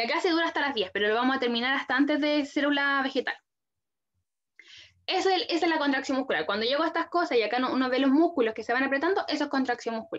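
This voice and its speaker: A woman talks very fast in a high pitch. Her pitch moves by an ordinary amount. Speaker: biology tutor. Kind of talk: lecture. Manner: casual.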